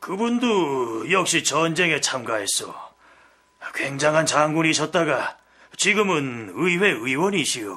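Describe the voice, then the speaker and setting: Putting on a character voice, a man speaks raspily at a fairly slow pace in a fairly high pitch. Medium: audio drama.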